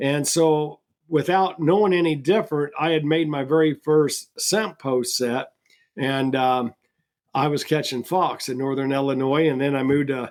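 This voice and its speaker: A man's fairly high voice moves at a moderate speed with fairly even intonation. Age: 60s. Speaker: trapper and trapping products seller. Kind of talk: casual interview chat. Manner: halting, repeats words.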